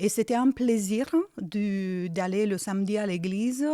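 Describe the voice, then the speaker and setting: A woman with a slight Romanian accent speaks at a very slow pace, her tone dark and mellow and her pitch medium with ordinary variation. The recording is very clean, with a silent background. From Romania, Iași region (north-east). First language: Romanian (speaking French). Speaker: churchgoer giving life testimony. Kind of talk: testimony interview. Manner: hesitant, many fillers.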